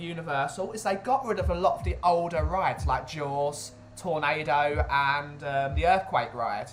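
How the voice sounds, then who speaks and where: An animated, fairly high-pitched man at a moderate pace, with audible room echo and music in the background. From England, Essex. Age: 20s. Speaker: streamer. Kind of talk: casual chat.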